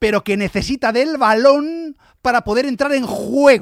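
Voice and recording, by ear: A dramatic tone with vocal fry comes through in a dry, close sound with no echo. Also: man, very clean recording, silent background.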